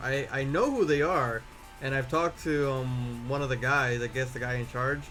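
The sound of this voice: Music plays in the background. A man talks with fairly even intonation. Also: medium pitch for a man, moderate pace.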